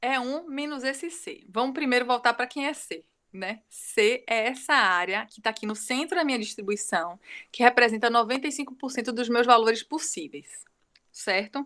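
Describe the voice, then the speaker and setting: A high-pitched woman with a bright, sharp tone speaks at a moderate pace with lively intonation and big swings in loudness, in a very clean recording with a silent background. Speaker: university lecturer. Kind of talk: lecture.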